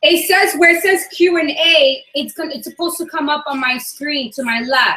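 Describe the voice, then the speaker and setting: A woman's high, raised and projected voice with ordinary pitch variation. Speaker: forex trading educator. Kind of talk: casual chat. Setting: video call. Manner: fast.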